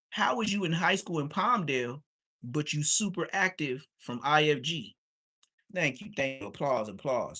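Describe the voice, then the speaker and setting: At a moderate pace, a man speaks in a bright, sharp tone with lively intonation. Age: 40s. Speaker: streamer reacting to videos. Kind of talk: streetwise rant. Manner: animated.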